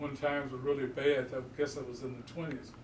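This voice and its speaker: A man with an American accent and a medium pitch speaks with audible room echo and noticeable background noise. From Houston, Texas. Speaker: community elder. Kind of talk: oral history interview.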